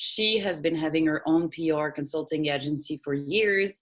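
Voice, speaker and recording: A woman with a French accent and a very deep, low pitch, at a moderate pace with ordinary pitch variation. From France, Paris. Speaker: PR agency founder. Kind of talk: interview.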